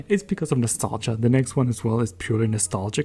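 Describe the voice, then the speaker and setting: The man's voice has a dark, mellow tone and is somewhat breathy. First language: not English. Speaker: gaming podcaster. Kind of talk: casual monologue podcast. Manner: casual, rambling with restarts.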